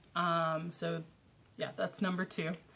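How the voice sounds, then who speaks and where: A woman's medium-pitched voice at a fairly slow pace. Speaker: comic book vlogger. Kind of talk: casual talk to camera. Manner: hesitant, many fillers.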